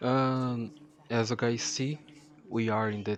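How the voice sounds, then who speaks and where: A man speaks very slowly with a strong non-native accent over noticeable background noise. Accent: thick non-native. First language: not English. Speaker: gaming YouTuber. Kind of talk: gameplay commentary. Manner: halting, many fillers and repeats.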